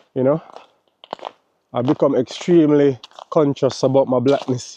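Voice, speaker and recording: Dark and mellow, the voice carries a Jamaican accent with fairly even intonation at a moderate pace. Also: man, fairly high pitch for a man. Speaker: travel vlogger. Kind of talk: casual vlog monologue. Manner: casual, filler-heavy.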